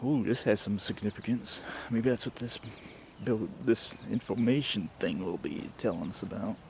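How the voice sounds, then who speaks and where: This man has an unremarkable speaking voice with a medium pitch. He talks at a moderate pace with ordinary pitch variation. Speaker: hiking vlogger. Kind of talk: casual vlog narration while walking. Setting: outdoors on a trail.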